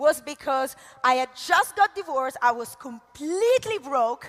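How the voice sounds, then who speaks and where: In an Italian accent, a woman speaks at a high pitch with very wide pitch swings and an animated tone, the sound dry and close with no echo but with noticeable background noise. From Italy. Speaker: network marketing leader. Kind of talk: motivational talk. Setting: stage with audience.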